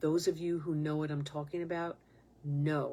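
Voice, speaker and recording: A woman talks with a New York accent. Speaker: podcast host. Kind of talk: spiritual monologue podcast. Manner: impassioned, emphatic.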